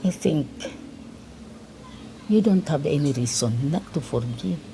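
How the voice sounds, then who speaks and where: A woman talks at a fairly slow pace, her very deep, low voice swinging very widely in pitch. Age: 80s+. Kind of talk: interview answer.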